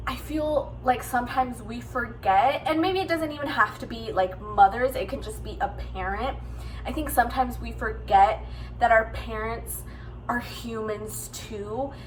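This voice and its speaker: Over noticeable background noise, a woman talks at a moderate pace with big swings in loudness. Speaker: book vlogger. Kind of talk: casual vlog talk. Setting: at home. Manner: hesitant, with fillers.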